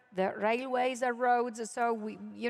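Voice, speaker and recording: A woman with an Italian accent. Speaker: keynote speaker, UN official. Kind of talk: conference keynote speech. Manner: hesitant, with frequent fillers.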